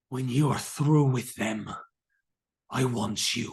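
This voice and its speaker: The speaker uses a put-on character voice at a low-to-middle pitch. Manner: commanding, menacing.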